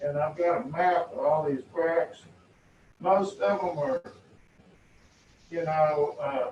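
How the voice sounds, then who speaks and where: The man has a Texan accent. He talks at a fairly slow pace. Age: 60s. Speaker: property owner protesting appraisal. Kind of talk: appeal hearing testimony. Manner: halting, repeats words.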